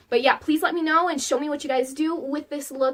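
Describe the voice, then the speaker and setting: In an animated tone, a woman talks fairly quickly while noticeable background noise continues. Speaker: beauty vlogger. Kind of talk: makeup tutorial with casual chat.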